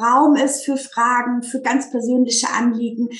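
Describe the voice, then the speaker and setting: Fairly slow and flat in intonation, a woman speaks at a high pitch. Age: 30s. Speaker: teacher turning life coach. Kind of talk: casual interview chat.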